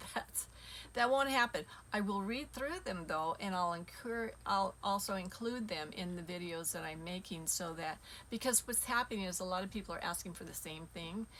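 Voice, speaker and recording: A woman with an unremarkable speaking voice talks at a moderate pace, at medium pitch with ordinary pitch variation. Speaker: spiritual teacher. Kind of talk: casual monologue to viewers.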